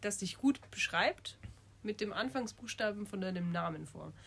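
A woman's medium-pitched voice with lively intonation at a moderate pace, against noticeable background noise. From Munich, Bavaria. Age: 20s. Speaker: university student, podcast co-host. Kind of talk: casual chat.

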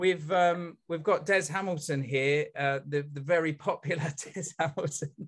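An unremarkable speaking voice moves at a moderate pace with hardly any pauses. The intonation is fairly even. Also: man, fairly high pitch for a man. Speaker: event organiser and moderator. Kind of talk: online Q&A moderation. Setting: video call.

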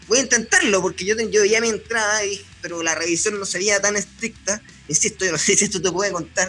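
A man's raised, projected voice in a Chilean accent, high in pitch, at a fairly quick pace with fairly even intonation, over music in the background. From Chile, Punta Arenas. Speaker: sports journalist. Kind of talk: casual chat.

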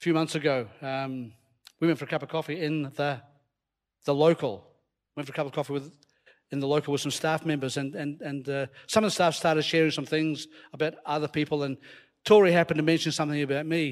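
With a slight Scottish accent, a man talks in an animated tone at a fairly high pitch, very fast yet with long, frequent pauses. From Scotland. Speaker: preacher. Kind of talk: sermon. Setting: church with live audience. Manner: animated, humorous.

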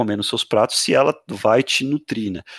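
A man's fairly low-pitched, ordinary speaking voice at a moderate pace, with a dry, close sound with no echo on a very clean recording with a silent background. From Brazil, Santos. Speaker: podcast host. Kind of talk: interview.

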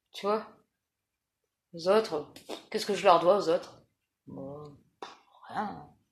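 A woman's fairly low pitch with ordinary pitch variation, a very slow pace, long, frequent pauses, and big swings in loudness. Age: 40s. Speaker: interviewee. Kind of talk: personal testimony interview. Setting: at her home. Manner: halting.

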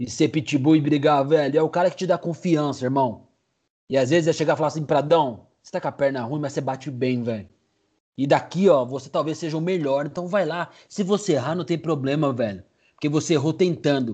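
The voice has a dark, mellow tone and ordinary pitch variation. It moves at a fairly quick pace against a quiet background. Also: man, fairly high pitch for a man. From Brazil, São Paulo area (Cotia). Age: 40s. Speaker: sports podcaster. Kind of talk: casual chat.

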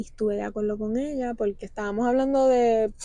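Very fast female speech with ordinary pitch variation. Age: 20s. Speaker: podcast guest. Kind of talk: casual chat.

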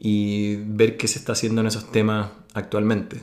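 A man with a Chilean accent. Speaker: podcast host. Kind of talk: casual interview.

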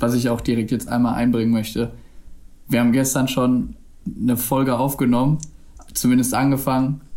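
Speaking at a medium pitch and a fairly quick pace, a man with a dark, mellow tone keeps a monotone, flat intonation and very even loudness while taking long, frequent pauses. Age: 20s. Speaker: podcast co-host. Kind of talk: casual chat. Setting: video call.

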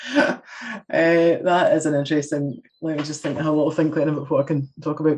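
This woman has a very deep, low voice and a Scottish accent. Her intonation is flat and monotone. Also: fairly quick pace. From Scotland. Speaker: community development specialist and lecturer. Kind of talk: casual interview chat.

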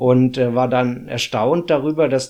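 A man speaks at a moderate pace in a medium pitch, his dark, mellow tone carrying fairly even intonation over a quiet background. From Hesse, Germany (Runkel near Limburg). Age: 40s. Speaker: municipal finance employee, descendant of expellees. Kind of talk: interview. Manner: halting, many filler sounds.

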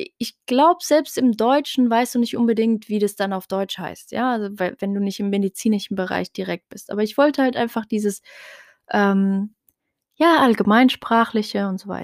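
On a very clean recording with a silent background, a woman speaks at a moderate pace with a dry, close sound with no echo. Her voice is fairly high in pitch, with ordinary pitch variation. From Germany, Heidelberg. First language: Tarifit (speaking German). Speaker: podcast host. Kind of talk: solo monologue podcast. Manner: casual, many filler sounds.

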